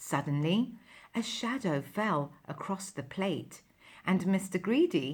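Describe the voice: Lively intonation marks this plain reading aloud.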